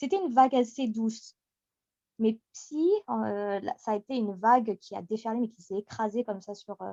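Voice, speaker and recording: An unremarkable speaking voice from a woman, fairly high-pitched, with ordinary pitch variation and a moderate pace. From France, Picardy and Paris. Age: 30s. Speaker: radio host and community admin. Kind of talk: interview. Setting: podcast recording.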